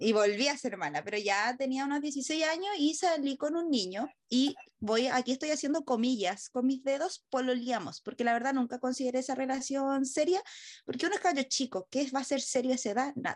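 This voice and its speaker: In a Chilean accent, a woman speaks high-pitched at a fairly quick pace with ordinary pitch variation. The background is quiet. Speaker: podcast host. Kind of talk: casual chat.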